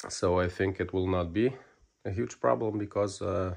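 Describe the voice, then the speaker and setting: Against a quiet background, a man with a Lithuanian accent speaks at a moderate pace with a very deep, low pitch and ordinary pitch variation. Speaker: motorcycle ECU tuning technician. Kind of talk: technical video tutorial. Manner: hesitant, many fillers.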